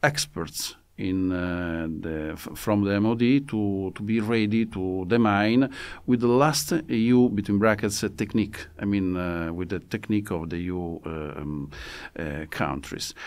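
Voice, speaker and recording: In an Italian accent, a man talks at a fairly slow pace with a fairly low pitch and ordinary pitch variation. The recording is very clean, with a silent background. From Italy. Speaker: military attaché. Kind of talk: interview. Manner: halting.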